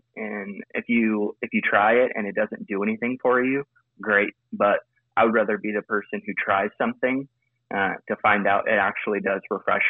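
At a moderate pace, a man speaks in a fairly low, monotone, flat voice. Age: 20s. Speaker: pastor. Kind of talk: casual chat.

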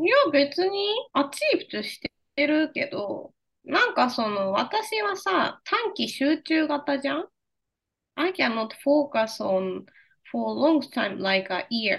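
A woman speaks with a Japanese accent at a fairly slow pace. Her high voice moves through very wide pitch swings. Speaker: podcast co-host. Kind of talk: casual chat. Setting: video call.

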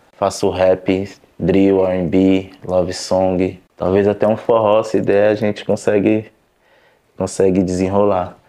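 A man's very deep, low voice, dark and mellow, monotone and flat, at a very slow pace. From São Paulo south zone, Brazil. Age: 20s. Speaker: barber and rap artist. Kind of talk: casual interview testimony.

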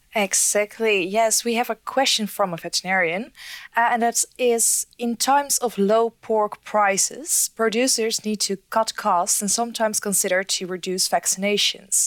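A woman with an ordinary speaking voice, a moderate pace, ordinary pitch variation and hardly any pauses, in a dry, close sound with no echo. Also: fairly high pitch for a woman. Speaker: audiovisual editor. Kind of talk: reading audience questions.

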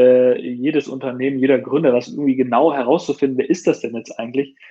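A plain, everyday voice, its intonation fairly even, moves along at a moderate pace. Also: man. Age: 30s. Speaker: startup founder and CEO of a watch brand. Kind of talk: casual interview.

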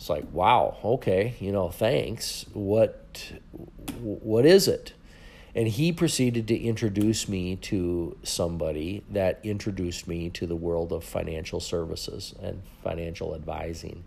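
With an Upper Midwest accent, a man speaks at a fairly slow pace and fairly low pitch, using ordinary pitch variation. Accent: Upper Midwest (Minnesota). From Minnesota, rural farm. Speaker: podcast host, financial coach. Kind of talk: monologue, personal story.

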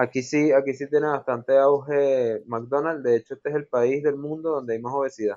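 With an unremarkable speaking voice, a man talks at a moderate pace in a fairly high pitch, with fairly even intonation and hardly any pauses. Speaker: podcast co-host. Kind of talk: casual chat.

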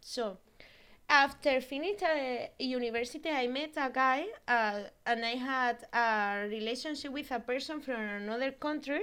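With an Andalusian accent, a woman speaks at a high pitch, with ordinary pitch variation and a bright, sharp tone. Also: fairly slow pace. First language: Spanish. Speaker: guest sharing her hometown. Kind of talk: casual interview chat. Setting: remote call across countries. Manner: halting, searches for English words.

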